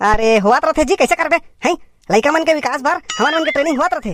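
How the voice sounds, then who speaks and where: A cartoonish character voice, high-pitched, rattles along at a very fast pace. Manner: grumbling, defensive.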